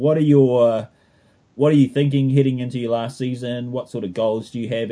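Here a man speaks with a New Zealand accent. His pace is fairly quick, with ordinary pitch variation. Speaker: running podcast host. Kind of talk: casual chat.

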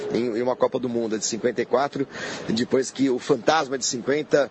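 A man talks fairly slowly. Behind him, noticeable background noise is present. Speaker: football fan and commentator. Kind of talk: casual chat.

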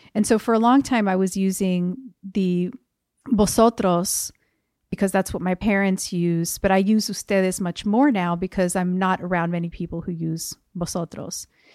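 Speaking with an American accent, a woman uses a medium pitch at a moderate pace. The sound is dry and close, with no echo. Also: fairly even intonation, very clean recording, silent background. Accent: general American with New Jersey tinge. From US Northeast (New Jersey). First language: Spanish. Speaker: poet and translator. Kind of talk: interview conversation.

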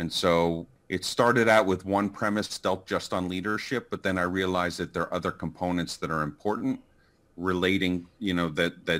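A man's low-pitched voice with a fairly bright tone, fairly even intonation and a moderate pace

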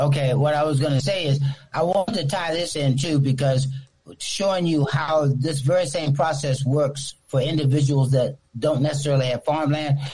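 A man with an American accent talks at a moderate pace in a plain, everyday voice, fairly high in pitch, with fairly even intonation and very even loudness. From Newport News, Virginia. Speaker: radio caller. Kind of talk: call-in comment.

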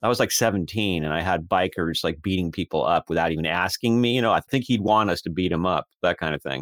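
Speaking with an American accent at a very fast pace, a man has a very deep, low pitch and ordinary pitch variation. The sound is dry and close with no echo, on a very clean recording with a silent background. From US. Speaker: author and astrologer. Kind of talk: interview.

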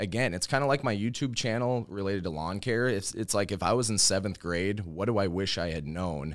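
In a Chicago accent, a man speaks at a fairly quick pace with a fairly low pitch and ordinary pitch variation. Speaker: lawn care YouTuber.

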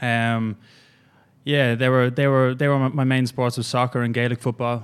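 A man with an Irish accent, medium pitch and flat, monotone intonation. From Ireland. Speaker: fitness coach. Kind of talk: casual chat. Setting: studio.

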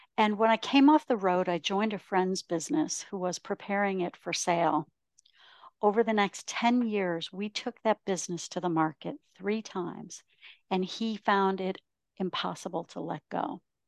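An unremarkable speaking voice talks at a moderate pace with ordinary pitch variation. The sound is dry and close with no echo, over a quiet background. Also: woman, medium pitch for a woman. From Ontario, Canada. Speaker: professional speaker and author. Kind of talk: interview.

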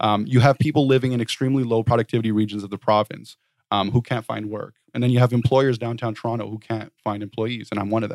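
Very fast and with hardly any pauses, a man with a medium pitch talks in a monotone, flat intonation, recorded very cleanly with a silent background and a dry, close sound with no echo. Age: 30s. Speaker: housing advocacy nonprofit founder. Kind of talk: interview.

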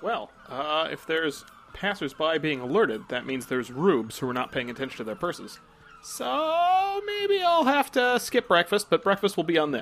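A man speaks in a high pitch with very wide pitch swings. Noticeable background noise runs under his voice. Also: moderate pace. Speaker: player. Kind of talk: tabletop roleplaying game, in-character. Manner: joking, casual.

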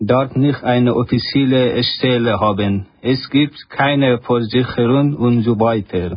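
With an Afghan accent, a man speaks at a very slow pace, his loudness very even and his intonation fairly even. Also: medium pitch for a man. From Afghanistan. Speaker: refugee, asylum seeker. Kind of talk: reading aloud.

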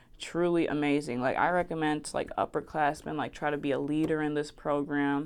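In an American accent, a woman with a very deep, low pitch speaks at a fairly quick pace with hardly any pauses against a quiet background. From New Jersey, West Orange. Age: young. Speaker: college student podcast host. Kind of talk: casual monologue. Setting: student media office. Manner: animated, laughing often.

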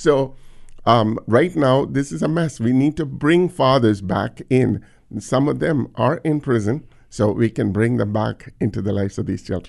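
A man at medium pitch with vocal fry, lively intonation and a moderate pace, against a quiet background. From India. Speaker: nonprofit founder. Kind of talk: interview.

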